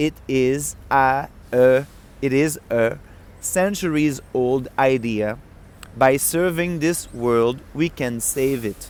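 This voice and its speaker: A man speaks very slowly with a French accent. His pitch is medium, with ordinary variation. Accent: French accent, noticeable. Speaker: book reader. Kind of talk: reading aloud; casual chat. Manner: halting.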